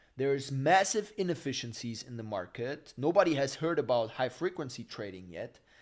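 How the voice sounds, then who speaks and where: A man in an animated tone, very wide pitch swings and big swings in loudness, fairly quick with hardly any pauses. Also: fairly high pitch for a man, very clean recording, silent background. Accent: German. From Germany. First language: German. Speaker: finance YouTuber. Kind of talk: live stream Q&A.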